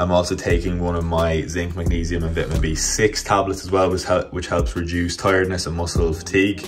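Against clear music in the background, the voice moves at a fairly quick pace in a monotone, flat intonation. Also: man, very deep, low pitch for a man. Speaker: fitness vlogger. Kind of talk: casual vlog chat. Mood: relaxed, just woke up. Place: kitchen. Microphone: phone near.

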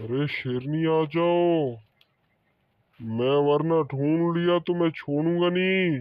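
Using a cartoonish character voice with a menacing tone, a man talks very slowly in a fairly high pitch, leaving long, frequent pauses. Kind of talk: comic overacting. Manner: menacing, boastful, demanding.

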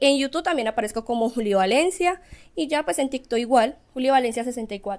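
With lively intonation, a woman talks at a moderate pace in a high pitch. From Colombia, Pereira (Risaralda); Risaralda, Colombia. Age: 20s. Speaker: singer; guest. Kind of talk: interview. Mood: friendly, animated. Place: studio.

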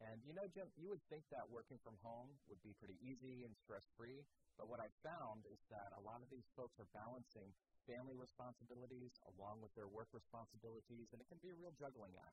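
Somewhat breathy, a man talks at a fairly quick pace. The sound is dry with no echo, though background noise is noticeable. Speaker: chamber of commerce representative. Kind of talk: TV interview. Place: studio. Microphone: lapel.

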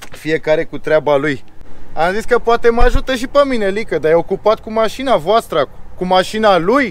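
Dry with no echo, the voice carries lively intonation at a moderate pace. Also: man, high pitch for a man. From Romania. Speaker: family vlogger. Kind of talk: vlog narration; casual vlog chat. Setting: in a car. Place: street. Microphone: phone near.

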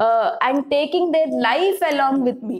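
The pace of this woman's speech is fairly slow. Her voice sits high in pitch. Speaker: teacher. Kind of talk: lecture. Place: classroom.

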